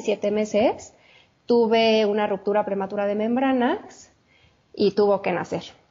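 A woman at a very slow pace and fairly high pitch, with a Mexico City accent. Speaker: chef and health coach. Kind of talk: interview, personal testimony.

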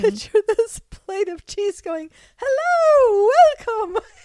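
A woman in a put-on character voice speaks at a fairly slow pace with extremely high pitch. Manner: comical, polite greeting.

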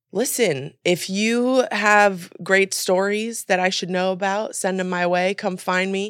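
Very slowly, a woman with an American accent speaks at a medium pitch. Her intonation is fairly even, and the recording is very clean with a silent background. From US, mixed (California, Miami, Memphis). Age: 30s. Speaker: journalist and producer. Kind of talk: casual interview chat.

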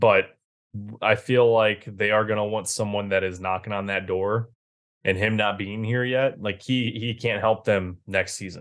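Over a silent background on a very clean recording, a man with a normal speaking voice talks at a fairly low pitch and moderate pace, his intonation fairly even. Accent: American. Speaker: hockey podcast co-host. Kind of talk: casual chat.

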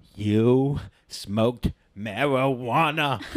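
A man speaks at a medium pitch. He uses a put-on character voice. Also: ordinary pitch variation. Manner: overacting, dramatic.

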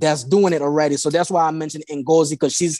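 A man with a Haitian accent speaks at a moderate pace against a quiet background. His fairly high voice has a dark, mellow tone. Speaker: insurance agency owner. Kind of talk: casual interview chat. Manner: halting, with repeated words.

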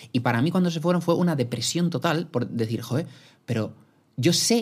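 A man's voice, somewhat breathy, captured in a very clean recording against a silent background. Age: 20s. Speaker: podcaster. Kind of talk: casual chat.

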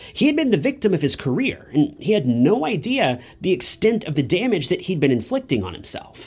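A man speaks fairly quickly in a high, solemn and serious voice, his pitch swinging very widely. He hardly pauses, and music plays in the background. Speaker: true crime YouTuber. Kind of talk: true-crime narration. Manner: solemn, measured, serious storytelling tone; casual, direct asides to viewers.

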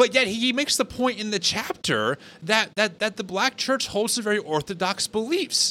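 A man with a high pitch projects a raised, bright, sharp voice at a moderate pace, with lively intonation and a dry, close sound with no echo. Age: 30s. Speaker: podcast host. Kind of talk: casual interview conversation.

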